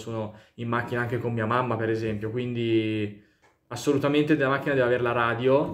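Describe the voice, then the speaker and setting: A man speaks at a fairly quick pace. His intonation stays fairly even. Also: quiet background. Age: 20s. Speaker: YouTuber. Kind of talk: casual vlog monologue. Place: home room. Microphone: phone near.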